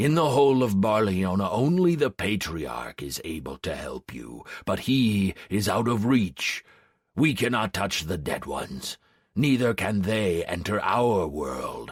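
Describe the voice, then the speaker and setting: A man uses a put-on character voice. He growls at a fairly low pitch. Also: fairly slow pace. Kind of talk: fantasy audiobook. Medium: read story. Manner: growling, solemn.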